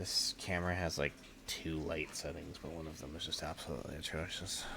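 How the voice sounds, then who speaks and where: Music plays behind a man whose voice is very deep and low. He talks at a fairly quick pace in a flat, monotone way. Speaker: gaming streamer. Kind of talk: live gameplay stream chat. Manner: casual, rambling; loud.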